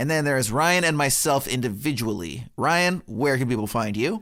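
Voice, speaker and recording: Using an ordinary speaking voice, a man talks fairly quickly at a medium pitch with ordinary pitch variation. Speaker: podcast host. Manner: casual, rambling with fillers.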